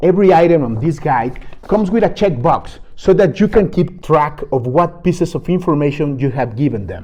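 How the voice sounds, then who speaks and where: A man speaks with a non-native accent in a fairly high voice with a dark, mellow tone. His intonation is lively, and he keeps a moderate pace with hardly any pauses. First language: not English. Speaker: game guide creator. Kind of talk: product walkthrough.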